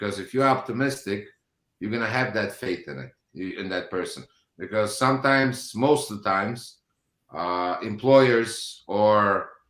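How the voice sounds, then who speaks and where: A man in a non-native accent, fairly low in pitch, with ordinary pitch variation and big swings in loudness. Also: moderate pace. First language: not English. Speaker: business owner. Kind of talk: panel discussion. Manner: halting.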